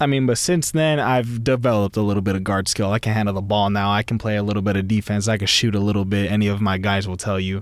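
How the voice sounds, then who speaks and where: A man in an American accent rattles along at a very fast pace, his pitch varying in an ordinary way. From US West Coast. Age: 20s. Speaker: podcast host. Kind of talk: casual monologue. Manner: laid-back.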